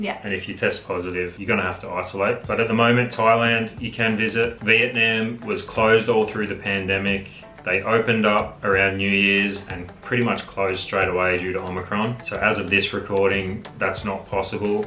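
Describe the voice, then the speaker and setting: The delivery moves at a fairly quick pace with hardly any pauses and a monotone, flat intonation, with audible room echo and faint music in the background. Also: man, fairly low pitch for a man. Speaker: travel vlogger. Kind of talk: casual vlog chat. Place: home room.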